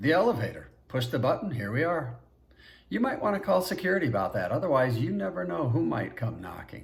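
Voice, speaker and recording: Putting on a character voice, a man talks in a sing-song way at a fairly quick pace, with very wide pitch swings around a medium pitch. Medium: read story. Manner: sing-song lilt.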